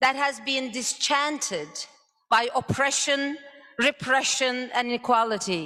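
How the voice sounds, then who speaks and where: A woman's raised, projected voice, high-pitched and bright and sharp in tone, with ordinary pitch variation. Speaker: conference moderator. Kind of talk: conference speech.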